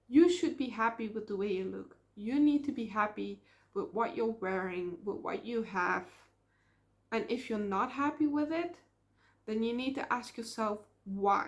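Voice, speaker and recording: A woman with a Dutch accent speaks at a fairly slow pace, with long, frequent pauses. Her voice is fairly high and somewhat breathy, with lively intonation. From Netherlands. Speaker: vlogger. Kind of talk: casual vlog monologue. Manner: hesitant, with filler ums.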